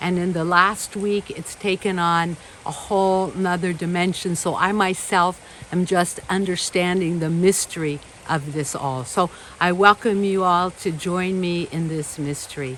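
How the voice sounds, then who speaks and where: Fairly even intonation comes through noticeable background noise. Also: woman, fairly low pitch for a woman, fairly slow pace. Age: 70s. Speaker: spiritual ceremony leader. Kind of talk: ceremonial welcome speech. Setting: home temple ceremony.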